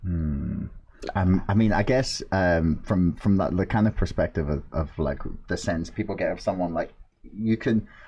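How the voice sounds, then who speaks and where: A man's very deep, low voice, dark and mellow in tone and somewhat breathy, at a moderate pace. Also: ordinary pitch variation. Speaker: podcast host. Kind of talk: casual podcast conversation.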